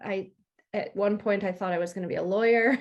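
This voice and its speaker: A woman with an American accent speaks in a plain, everyday voice at a medium pitch. She moves at a fairly quick pace with fairly even intonation. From US, upstate New York. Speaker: freelance technology communicator. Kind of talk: interview.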